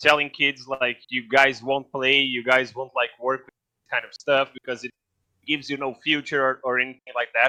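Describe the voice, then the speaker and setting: A man's fairly high voice, bright and sharp in tone, at a moderate pace with a dry, close sound and no echo. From Brazil. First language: Portuguese. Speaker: esports guest expert. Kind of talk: podcast interview. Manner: halting, many fillers.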